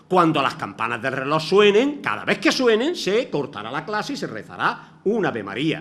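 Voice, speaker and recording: Over noticeable background noise and audible room echo, a man with a high pitch talks at a moderate pace, his voice making very wide pitch swings. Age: 60s. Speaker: retired teacher, lecturer. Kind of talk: lecture.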